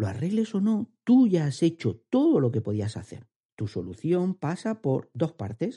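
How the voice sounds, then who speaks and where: A man with a fairly high, somewhat breathy, dark and mellow voice speaks at a moderate pace with very wide pitch swings, the sound dry and close with no echo. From Andalusia, Spain. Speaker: HR podcast host, career advisor. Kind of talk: podcast monologue, advice.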